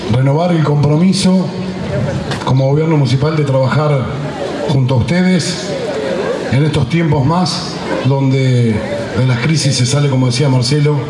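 With crowd noise in the background, a man speaks at a moderate pace with ordinary pitch variation and long, frequent pauses. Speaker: municipal mayor. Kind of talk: public speech. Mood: earnest, celebratory closing. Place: street. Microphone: podium.

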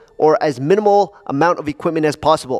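Quiet surroundings, a male speaker, ordinary pitch variation. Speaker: fitness channel host. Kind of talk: casual vlog chat. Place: gym. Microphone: headset.

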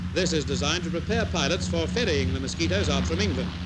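Noticeable background noise under a man's fairly quick delivery. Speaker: newsreel narrator. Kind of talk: commentary.

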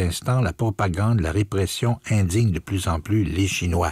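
In a somewhat breathy voice, a man speaks at a moderate pace with a fairly low pitch, the sound dry with no echo and the background quiet. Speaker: radio host. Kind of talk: radio commentary on a book. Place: studio.

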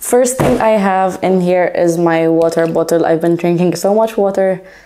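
A woman with a fairly low pitch speaks at a fairly slow pace. Her pitch varies in an ordinary way. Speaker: culinary student and pastry chef vlogger; culinary student vlogger. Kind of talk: casual vlog show-and-tell. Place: home room. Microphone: lapel.

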